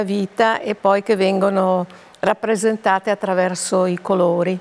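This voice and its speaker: A woman's voice in a monotone, flat intonation. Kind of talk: interview answer. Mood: calm, reflective. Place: studio.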